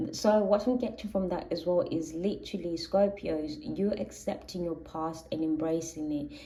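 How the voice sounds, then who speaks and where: A woman with a Zulu accent, a fairly low pitch, a dark, mellow tone, and ordinary pitch variation, with audible room echo. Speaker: tarot reader. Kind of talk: tarot reading monologue.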